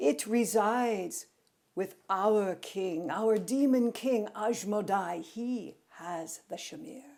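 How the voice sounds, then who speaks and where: A female-sounding voice, fairly high and put on as a character, hisses and growls at a very slow pace. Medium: read story. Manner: snarling, hissing.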